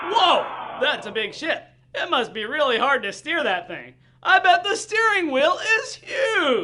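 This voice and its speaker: A cartoonish character voice at an extremely high pitch swings very widely in pitch at a fairly slow pace. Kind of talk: children's puppet show.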